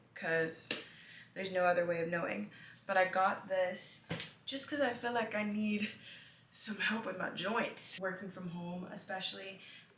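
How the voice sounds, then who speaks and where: At a moderate pace, a woman with a medium pitch speaks amid noticeable background noise and audible room echo. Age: 20s. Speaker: lifestyle vlogger. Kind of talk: casual vlog talk to camera. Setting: at home in apartment. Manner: chatty, filler-heavy.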